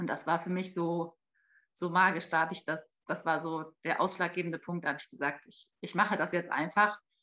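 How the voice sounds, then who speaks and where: With a fairly low pitch, a woman talks at a fairly quick pace in a monotone, flat intonation, her loudness swinging widely. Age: 30s. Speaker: mother and marketing employee. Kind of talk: interview. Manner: halting, many fillers.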